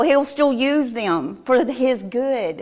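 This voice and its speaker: Very slowly, a woman speaks with a Southern US accent at a high pitch. Her pitch variation is ordinary, and the recording is very clean with a silent background. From Arkansas, US South. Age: 50s. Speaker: recovering addict giving testimony. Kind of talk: testimony. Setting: church with audience.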